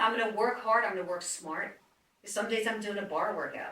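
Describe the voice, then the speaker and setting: A woman with a New Jersey accent talks at a fairly quick pace in an animated tone. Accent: New Jersey, noticeable. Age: 60s. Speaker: fitness trainer. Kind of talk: casual chat.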